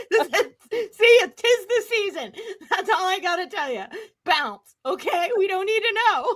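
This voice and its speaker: A woman speaks in an animated tone with an extremely high pitch. Her intonation is lively. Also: moderate pace. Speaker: wrestling podcast co-host. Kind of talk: casual chat.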